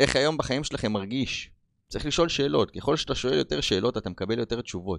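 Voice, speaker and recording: A man talks at a very fast pace with very wide pitch swings and vocal fry, recorded dry and close with no echo against a quiet background. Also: medium pitch for a man. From Israel, Rishon LeZion. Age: 30s. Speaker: podcast host. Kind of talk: motivational monologue. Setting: on camera.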